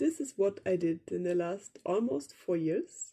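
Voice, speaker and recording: A woman with a German accent speaks at a very slow pace with lively intonation. Her voice has a medium pitch and a dark, mellow tone. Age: young. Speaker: vlogger, meditation practitioner. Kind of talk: personal vlog monologue, unscripted. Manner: hesitant, with fillers.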